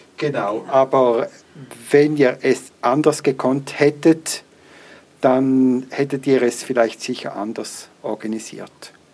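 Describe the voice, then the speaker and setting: A man talks at a very slow pace and a medium pitch. His intonation is fairly even, with noticeable background noise. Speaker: podcast host, blind. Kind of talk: podcast interview and product review. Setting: recording on the move, walking home.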